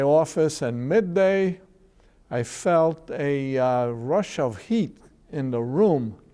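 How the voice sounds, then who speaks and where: A man's voice carries a dark, mellow tone. His intonation is lively. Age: 70s. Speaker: legal services director. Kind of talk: interview.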